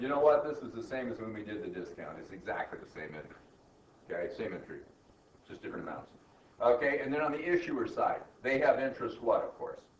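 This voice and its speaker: Amid noticeable background noise and audible room echo, a man talks very fast with long, frequent pauses and big swings in loudness. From US South. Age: old. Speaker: accounting professor. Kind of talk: lecture. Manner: animated.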